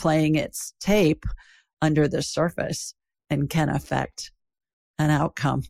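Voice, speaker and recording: Very deep and low-pitched, a woman's voice comes through dry and close with no echo on a very clean recording against a silent background. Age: 60s. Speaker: psychic and podcast host. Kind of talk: interview.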